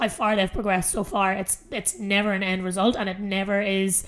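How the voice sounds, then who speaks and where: A woman speaks in a medium pitch with a strong Irish accent. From Ireland. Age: 30s. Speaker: fitness coach and podcast host. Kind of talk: solo podcast monologue. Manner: casual, filler-heavy.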